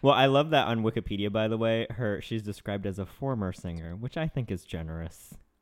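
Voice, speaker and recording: A man's fairly low voice in an American accent, very fast and with lively intonation. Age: 30s. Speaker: podcast co-host. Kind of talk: casual chat. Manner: fast, frantic.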